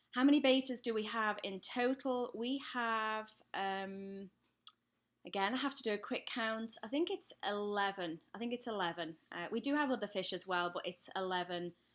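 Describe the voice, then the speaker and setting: The speaker talks with an English accent at a moderate pace. Pitch variation is ordinary. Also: woman, fairly high pitch for a woman. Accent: English accent, still clear. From England. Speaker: pet care YouTuber. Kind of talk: live stream Q&A. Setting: live stream at home. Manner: casual, hesitant with many fillers.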